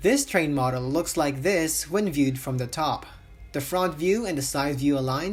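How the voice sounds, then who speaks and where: Music plays in the background as the speaker talks at a moderate pace with a non-native accent. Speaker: art tutorial maker. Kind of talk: tutorial narration. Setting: low-quality home microphone.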